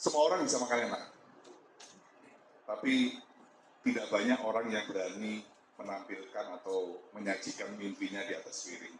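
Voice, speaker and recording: Noticeable background noise sits behind a man speaking at a moderate pace. He leaves long, frequent pauses. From East Java, Malang. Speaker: restaurant founder, business speaker. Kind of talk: talk to community audience.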